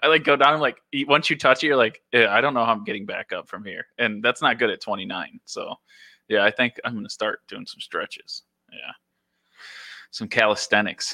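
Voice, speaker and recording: With big swings in loudness, a man speaks at a moderate pace on a very clean, dry, close recording with no echo and a silent background. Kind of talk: casual chat.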